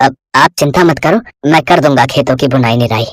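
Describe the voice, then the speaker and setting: Ordinary pitch variation runs through this put-on character voice. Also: man, medium pitch for a man, moderate pace. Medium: read story.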